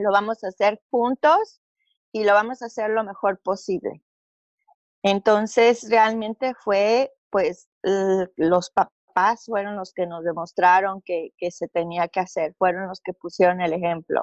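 A woman speaks very slowly at a medium pitch with ordinary variation. The sound is dry and close, with no echo. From Mexico City. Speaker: business owner. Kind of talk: interview testimony.

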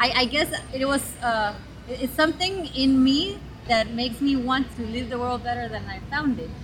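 Noticeable background noise sits behind a woman with a high voice. She talks at a moderate pace with ordinary pitch variation. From Guatemala. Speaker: social entrepreneur. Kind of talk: interview. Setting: outdoors in a park. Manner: halting, many repeated words.

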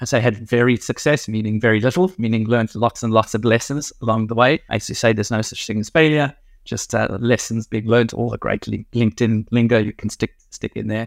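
A man with a South African accent talks at a fairly quick pace with hardly any pauses. His medium-pitched voice keeps fairly even intonation, and the sound is dry and close with no echo. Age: 40s. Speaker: insurance company co-founder. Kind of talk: interview conversation. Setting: remote call.

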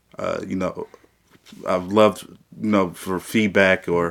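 A man speaks with an American accent in an ordinary speaking voice. His pitch is fairly low and his intonation fairly even. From south side of Peoria, Illinois. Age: 20s. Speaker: young political candidate. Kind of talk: interview.

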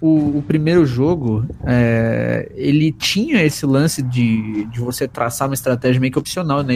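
Over noticeable background noise, a man talks at a moderate pace and medium pitch with ordinary pitch variation. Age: 20s. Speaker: podcast host. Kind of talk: casual chat.

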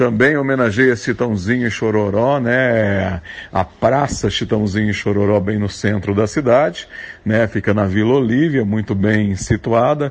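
A man speaks fairly slowly in a fairly low pitch with ordinary pitch variation. It is a plain, everyday voice. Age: 40s. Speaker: actor and announcer. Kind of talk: recorded guest segment.

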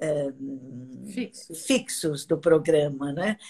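This woman's voice has a dark, mellow tone and lively intonation. She talks at a very slow pace. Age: 80s. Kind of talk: casual chat.

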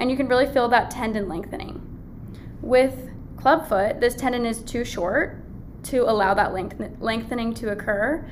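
A woman at a moderate pace in a fairly high pitch, with audible room echo. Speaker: medical student podcast host. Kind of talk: educational lecture.

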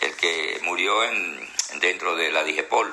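Noticeable background noise runs throughout. A man is speaking. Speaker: news podcast host. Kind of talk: live interview. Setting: Instagram live video call.

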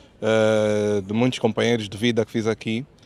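A man of medium pitch, in an unremarkable speaking voice, talks at a moderate speed. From Angola, Luanda. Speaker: photographer. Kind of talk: casual interview.

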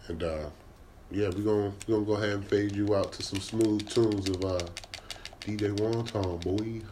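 Amid noticeable background noise, a man speaks at a fairly low pitch. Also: moderate pace. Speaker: podcast host. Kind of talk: casual chat. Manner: animated.

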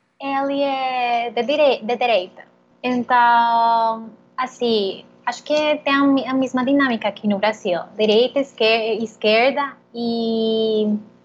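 A woman's high voice with a Spanish accent, very slow pace and fairly even intonation. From Colombia, Bogotá. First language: Spanish (speaking Portuguese). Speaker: interview guest. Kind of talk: interview. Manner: halting.

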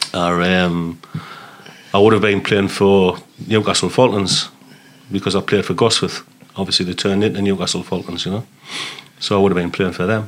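Over noticeable background noise, a man with a fairly low pitch talks at a fairly quick pace in a monotone, flat intonation, broken by long, frequent pauses. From northeast England, Sunderland. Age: 50s. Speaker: army veteran. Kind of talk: casual chat.

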